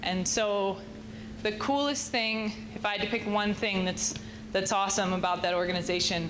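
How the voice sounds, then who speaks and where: Speaking at a moderate pace, a woman keeps a medium pitch and fairly even intonation. The room echo is audible, and background noise is noticeable. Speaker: water district manager. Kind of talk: panel talk. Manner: loud.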